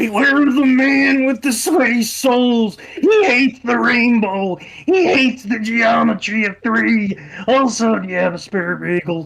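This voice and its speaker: A put-on character voice at a fairly high pitch runs at a moderate pace with hardly any pauses. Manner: ominous, cryptic.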